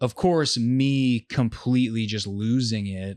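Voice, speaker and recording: An unremarkable speaking voice, its intonation fairly even throughout. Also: man. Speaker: musician. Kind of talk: casual chat.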